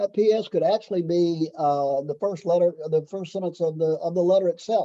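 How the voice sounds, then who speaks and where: At a fairly quick pace, a man with a high pitch speaks in a dark, mellow tone with ordinary pitch variation. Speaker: fundraising consultant and trainer. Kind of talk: training session. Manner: fast; halting, many fillers and repetitions.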